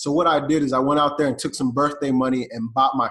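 A man with an American accent speaks in an unremarkable speaking voice. His pitch is fairly high and his intonation fairly even. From US South, Atlanta, Georgia. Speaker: e-commerce entrepreneur. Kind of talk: podcast interview.

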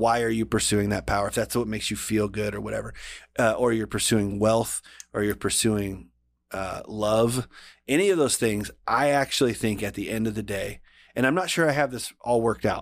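Recorded very cleanly against a silent background, a man with an unremarkable speaking voice talks at a medium pitch and moderate pace. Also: ordinary pitch variation. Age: 40s. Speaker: podcast producer and host. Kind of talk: casual chat.

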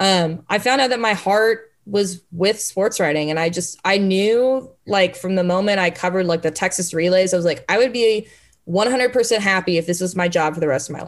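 Using an unremarkable speaking voice, a woman talks at a fairly quick pace with ordinary pitch variation. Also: medium pitch for a woman. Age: 20s. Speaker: sports journalist. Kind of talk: interview. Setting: remote call from home.

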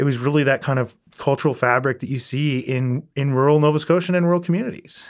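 A man with an Atlantic Canadian accent talks at a fairly quick pace with ordinary pitch variation. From Prince Edward Island. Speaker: entrepreneur, spirits company president. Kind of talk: casual interview conversation.

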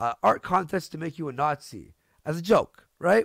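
The voice moves at a moderate pace with very wide pitch swings, captured as a dry, close sound with no echo on a very clean recording with a silent background. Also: man. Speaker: streamer host. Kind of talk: casual chat, live stream. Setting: live stream. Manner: joking, profane.

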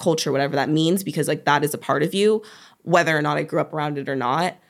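A woman talks in a very deep, low pitch with an American accent. The recording is very clean, with a silent background. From Oregon, US. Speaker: reality TV contestant and social media manager. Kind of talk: casual chat. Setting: studio.

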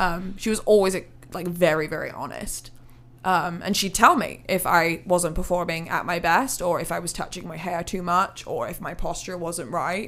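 A woman with a West Midlands accent speaks at a moderate pace and a fairly low pitch. Her intonation is fairly even, though her loudness swings widely. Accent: rural West Midlands English. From England, Hereford. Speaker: country singer-songwriter. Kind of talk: casual interview.

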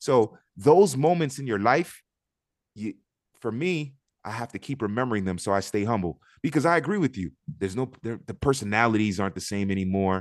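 Talking at a fairly quick pace with a Miami accent, a man has a fairly low voice. His intonation is lively. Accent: Miami American English. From Miami, Florida (Liberty City), Haitian family. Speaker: soccer pundit and commentator. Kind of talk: casual interview chat. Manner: talkative.

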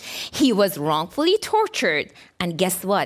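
Music plays behind a woman whose voice sits at a medium pitch. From Iran, Tehran. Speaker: author and former political prisoner. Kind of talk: lecture; Q and A answers.

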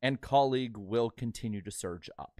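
Recorded very cleanly against a silent background, with a dry, close sound and no echo, a man speaks in a normal speaking voice at medium pitch with ordinary pitch variation. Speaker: podcast co-host.

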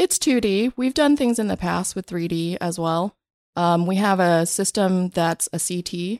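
An ordinary speaking voice with ordinary pitch variation, at a fairly slow pace. The sound is dry and close with no echo, on a very clean recording with a silent background. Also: woman, medium pitch for a woman. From Vietnam, raised in US from childhood. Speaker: tech company CTO. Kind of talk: interview. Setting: studio.

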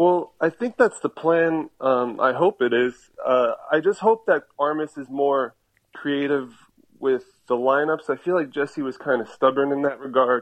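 Here is a man with an American accent and a normal speaking voice, pitched fairly high. He uses ordinary pitch variation at a fairly slow pace. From New Jersey. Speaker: soccer fan. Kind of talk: casual chat.

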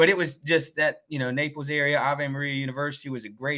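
A man speaks at a fairly high pitch with a bright, sharp tone. The sound is dry and close, with no echo. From North Carolina. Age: 30s. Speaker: high school football coach. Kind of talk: interview. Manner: halting.

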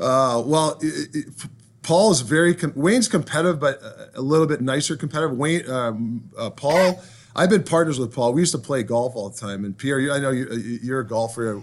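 With a Canadian accent, a man speaks in an ordinary speaking voice at a fairly high pitch. His pace is fairly quick, his intonation lively, and the background quiet. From Ontario, Canada. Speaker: hockey head coach. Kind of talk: interview.

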